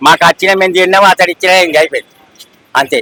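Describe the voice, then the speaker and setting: A man's raised, projected voice, high in pitch, with fairly even intonation and a dry, close sound with no echo. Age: old. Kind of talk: street interview answer.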